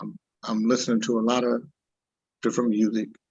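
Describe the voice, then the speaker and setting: This is a man speaking. His voice has vocal fry. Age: 60s. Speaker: singer and producer. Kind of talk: interview. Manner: halting.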